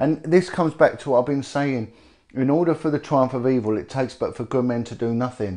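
A man speaks at a fairly quick pace with a British accent, his pitch medium and its variation ordinary. His tone is dark and mellow, and the background is quiet. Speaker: former police detective and campaigner. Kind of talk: interview. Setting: indoor location in North London.

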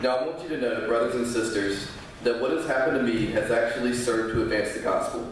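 Someone talks at a very fast pace with ordinary pitch variation, amid strong room echo and light background noise. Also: man. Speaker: scripture reader. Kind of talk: scripture reading in church. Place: church.

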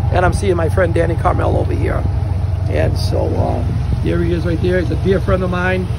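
Someone talks at a fairly quick pace over loud background noise, in a dry sound with no echo. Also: man. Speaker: minister tour host. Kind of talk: casual vlog commentary. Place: boat. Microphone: phone near.

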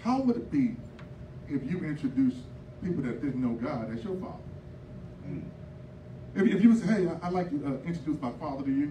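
In an animated tone, a man with fairly high pitch races along at a very fast pace, his pitch swinging very widely, with audible room echo and light background noise. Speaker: preacher. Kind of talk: sermon. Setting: church. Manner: animated, call-and-response pulpit delivery, exhorting the congregation. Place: church. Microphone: handheld.

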